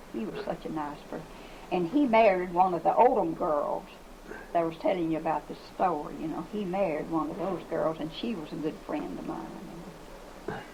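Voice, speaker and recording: A woman with a Southern US accent and a fairly low pitch speaks at a moderate pace with lively intonation and big swings in loudness, amid noticeable background noise and audible room echo. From US South. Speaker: retired schoolteacher. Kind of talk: oral history interview.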